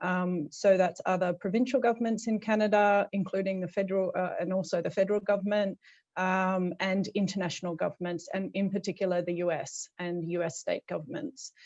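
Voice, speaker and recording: A woman with an Australian accent at a fairly quick pace, hardly any pauses, over a quiet background. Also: medium pitch for a woman. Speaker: policy advisor, program alumna. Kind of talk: panel introduction on video call.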